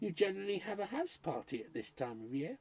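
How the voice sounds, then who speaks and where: The speaker uses a put-on character voice at a middle pitch with very wide pitch swings. Delivery is soft-spoken and very fast. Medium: read story. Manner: mild, placating.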